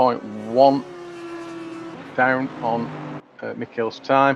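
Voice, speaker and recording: With noticeable background noise behind him, a man speaks very slowly with an English accent. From England. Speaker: sim racing commentator. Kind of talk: live commentary. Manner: hesitant, many fillers.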